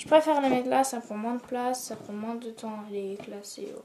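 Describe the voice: Soft-spoken and fairly high-pitched, a woman talks at a moderate pace with ordinary pitch variation and a dark, mellow tone, with room echo audible.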